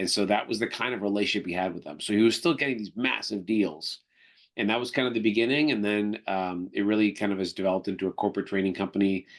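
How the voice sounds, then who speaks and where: Speaking at a very fast pace, a man with a slight Canadian accent uses a fairly low pitch and ordinary pitch variation over a quiet background. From Canada. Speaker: negotiation trainer and company executive. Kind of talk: podcast interview. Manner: conversational with frequent fillers.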